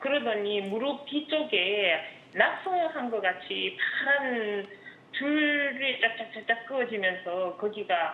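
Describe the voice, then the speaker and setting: A woman's fairly high voice with lively intonation at a very slow pace, over noticeable background noise. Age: 60s. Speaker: caller, housewife. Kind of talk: phone-in caller describing symptoms. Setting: phone call.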